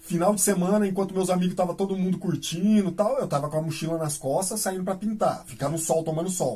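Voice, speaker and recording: Music plays in the background. The speech runs at a fairly quick pace with ordinary pitch variation. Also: man. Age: 40s. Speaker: graffiti artist. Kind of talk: casual interview. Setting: radio studio.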